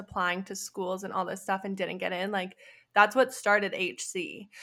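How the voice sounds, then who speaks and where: Bright and sharp in tone, a woman speaks at medium pitch in a very clean recording with a silent background. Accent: Western Canadian. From Canada, Alberta. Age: 20s. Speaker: entrepreneur and graduate student. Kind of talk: casual interview chat.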